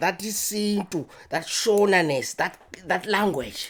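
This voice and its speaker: The speaker has a Zimbabwean accent. The pace is very slow. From Zimbabwe, Matabeleland. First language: Ndebele. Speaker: podcast guest. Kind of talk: casual chat. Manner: halting, repeats words.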